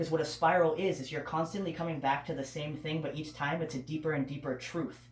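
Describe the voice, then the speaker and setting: With an American accent and fairly even intonation, a man speaks at a fairly high pitch amid noticeable background noise. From Massachusetts, US. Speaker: tarot reader. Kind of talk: tarot reading, casual chat. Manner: fast talker; chatty, rambling.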